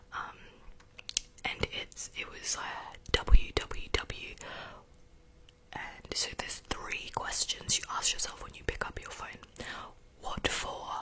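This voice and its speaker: A woman whispers at a very slow pace with long, frequent pauses, and her loudness swings greatly. Noticeable background noise is present. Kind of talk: casual ramble to camera about new year resolutions. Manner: whispered, soft-spoken.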